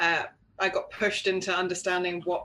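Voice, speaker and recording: A woman's fairly low voice with a bright, sharp tone and a London accent. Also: quiet background. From London, England. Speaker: knitwear designer. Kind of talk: interview. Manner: casual, many fillers.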